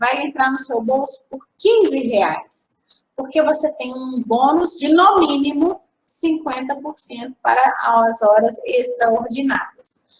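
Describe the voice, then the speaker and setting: Her high-pitched voice shows ordinary pitch variation as this woman speaks. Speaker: aviation school teacher. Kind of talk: lecture.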